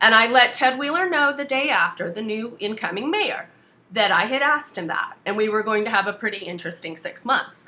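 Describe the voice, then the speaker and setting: With an American accent, the speaker moves at a moderate pace through very wide pitch swings. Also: woman. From US South. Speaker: activist. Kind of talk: casual chat. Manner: blunt.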